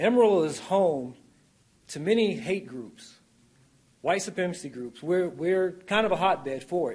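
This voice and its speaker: A man with a high pitch speaks at a moderate pace, using lively intonation and big swings in loudness. Long, frequent pauses break his speech, and the room echo is audible. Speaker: public commenter. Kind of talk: public comment speech. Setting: city council meeting.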